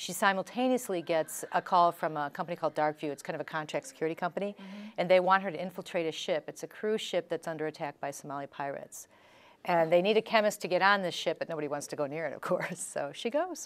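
A woman with an American accent speaks at a very fast pace and a fairly low pitch, with ordinary pitch variation. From Chicago. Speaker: author and former attorney; interviewee. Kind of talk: interview. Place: studio. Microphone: lapel.

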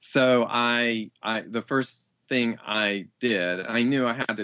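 A man speaks with ordinary pitch variation. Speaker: rewilding teacher and writer. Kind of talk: interview. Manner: halting, with frequent repetitions.

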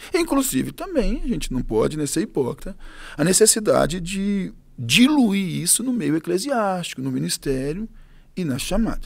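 Talking at a fairly slow pace, a man with a high pitch makes very wide pitch swings. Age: 40s. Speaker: pastor. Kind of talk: interview. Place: studio. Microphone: studio mic.

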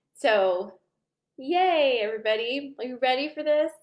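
Over a quiet background, a woman talks at a fairly slow pace. Her intonation is lively. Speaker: group host. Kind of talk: casual vlog chat. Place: home room. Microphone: webcam.

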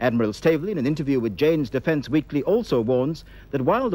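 A man's voice with very wide pitch swings and a dry sound with no echo. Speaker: newsreader. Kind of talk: news reading. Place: studio.

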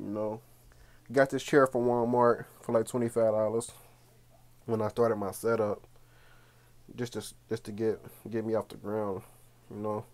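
Speaking in a flat monotone at a moderate pace, a man leaves long, frequent pauses. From Cincinnati, Ohio; Ohio. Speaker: gaming YouTuber. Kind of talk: room tour video. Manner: casual. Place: home room. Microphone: phone near.

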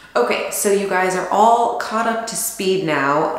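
Audible room echo around a woman's speech. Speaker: DIY vlogger. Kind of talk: casual vlog chat. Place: bathroom. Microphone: camera far.

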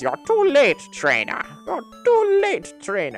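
Someone performs a put-on character voice with music in the background. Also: fairly slow pace. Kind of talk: gaming commentary, reading in-game dialogue. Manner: cartoon villain voice, hard to get right.

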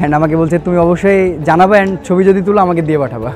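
Clear music plays in the background as a man talks with fairly even intonation, the sound dry with no echo. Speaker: interviewee. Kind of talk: interview answer. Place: stadium. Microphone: lapel.

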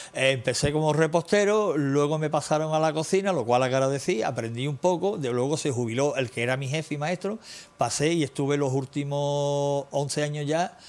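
A man's fairly high-pitched voice at a moderate pace, with ordinary pitch variation and hardly any pauses. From Andalusia, Ronda; Andalusia. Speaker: musician; TV interview guest. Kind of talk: interview. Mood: nostalgic storytelling. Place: studio.

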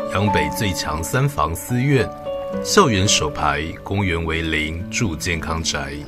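A man speaks at a very slow pace over loud music in the background. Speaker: voice actor. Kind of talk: TV commercial read. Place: studio.

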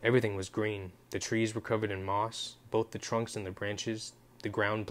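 This is an unforced reading voice. The speaker simply reads.

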